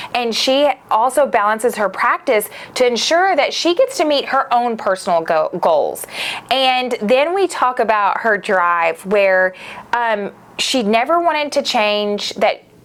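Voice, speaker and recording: A high-pitched woman with a Southern US accent, enthusiastic, fairly slow, with very wide pitch swings. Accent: southern US twang. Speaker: podcast host; media company founder. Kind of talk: casual podcast monologue.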